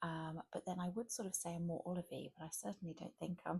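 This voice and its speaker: A soft-spoken woman talks in a gentle, dark and mellow tone that is somewhat breathy. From England. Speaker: ASMR content creator and mother. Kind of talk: ASMR shopping chat to camera. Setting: quiet room at home, late at night. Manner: gentle, soft-spoken, rambling.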